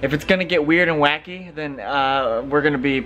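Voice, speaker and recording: Light background noise runs under this clip of a man talking at a fairly quick pace. His pitch varies in an ordinary way. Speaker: musician vlogger. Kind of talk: casual vlog chat. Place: home room. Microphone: phone near.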